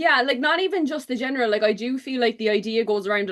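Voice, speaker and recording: A woman with a Cork accent and ordinary pitch variation. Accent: Cork Irish. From Ireland, Cork. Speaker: book content creator. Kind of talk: casual chat.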